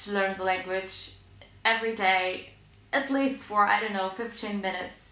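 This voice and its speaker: A woman's medium-pitched voice amid noticeable background noise and audible room echo. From Russia, small city near Moscow. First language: Russian. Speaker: language learning vlogger. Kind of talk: casual tutorial vlog. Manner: hesitant with fillers.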